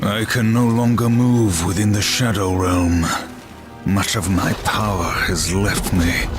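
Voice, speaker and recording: Clear music plays behind a man using a put-on character voice, fairly low in pitch and at a fairly slow pace. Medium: short film. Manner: terse, grim.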